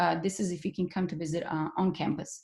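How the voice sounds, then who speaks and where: The background is quiet. A woman at a medium pitch speaks in a somewhat breathy voice. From Bosnia (Sarajevo). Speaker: professor. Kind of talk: webinar presentation. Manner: fast.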